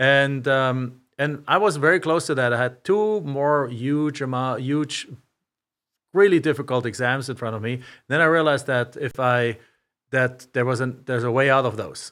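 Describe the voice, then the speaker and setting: With a German accent, a man speaks at a moderate pace in a medium voice with ordinary pitch variation, in a very clean recording with a silent background. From Germany. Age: 50s. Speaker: real estate investor. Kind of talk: interview. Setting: studio.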